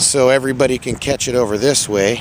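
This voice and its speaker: With noticeable background noise behind him, a man with an American accent speaks at a moderate pace and medium pitch with ordinary variation. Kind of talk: walking video tour narration. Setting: outdoors.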